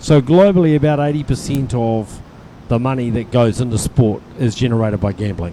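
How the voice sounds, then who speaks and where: Over noticeable background noise, a man with a medium-pitched voice talks fairly quickly, his intonation lively. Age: 60s. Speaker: lawn bowls sports administrator. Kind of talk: interview during live stream of tournament.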